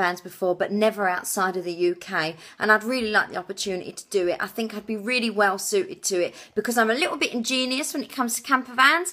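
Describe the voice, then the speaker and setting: On a very clean recording with a silent background, a woman talks at a very fast pace in a slight Essex accent. Her medium-pitched voice has a bright, sharp tone and ordinary pitch variation. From England, Essex. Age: 20s. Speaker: TV show applicant. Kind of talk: application video monologue. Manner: energetic, full on.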